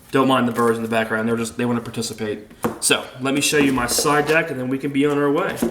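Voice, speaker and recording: A medium-pitched man speaks at a very fast pace. Both audible room echo and noticeable background noise come through. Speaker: card game player presenting a deck. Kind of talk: deck profile tutorial. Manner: stuttering.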